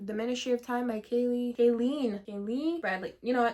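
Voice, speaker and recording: A woman has a normal speaking voice with a fairly high pitch. Her pitch variation is ordinary. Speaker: book youtuber. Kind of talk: casual chat.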